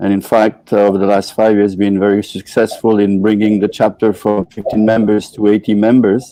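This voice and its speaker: A man speaks at a fairly quick pace in a fairly low pitch, with hardly any pauses and very even loudness. His intonation is a flat monotone, with music in the background. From Switzerland. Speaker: motorcycle club chapter director. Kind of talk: interview. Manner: hesitant, with filler words.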